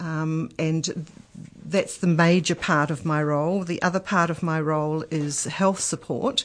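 A woman with a New Zealand accent speaks with a very deep, low pitch and fairly even intonation. Her pace is fairly slow, against a quiet background. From New Zealand, Marlborough and Nelson. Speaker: aged care health support manager. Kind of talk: radio interview.

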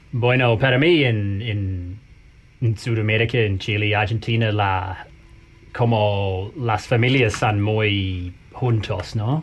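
Over music in the background, a man with an English accent speaks at a very slow pace in a fairly low pitch, with ordinary pitch variation and very even loudness. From New Zealand. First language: English (speaking Spanish). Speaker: Spanish learner and traveller. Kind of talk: casual chat. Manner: halting.

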